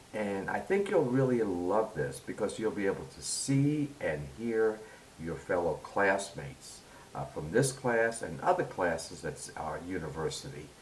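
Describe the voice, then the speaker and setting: A man speaks at a fairly slow pace and a fairly low pitch, with very wide pitch swings. Noticeable background noise and audible room echo are present. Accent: New York. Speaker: university instructor. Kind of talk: tutorial.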